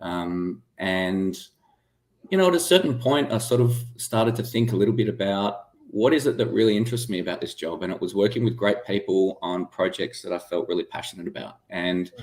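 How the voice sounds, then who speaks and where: A man with an Australian accent, medium in pitch, with lively intonation and a fairly quick pace. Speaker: medtech startup founder and former aerospace engineer. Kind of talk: interview.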